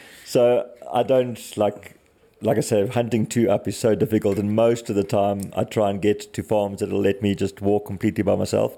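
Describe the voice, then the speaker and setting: At a moderate pace, the speaker uses fairly even intonation with a South African accent. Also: man, fairly low pitch for a man. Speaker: bow hunter guest. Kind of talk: casual chat.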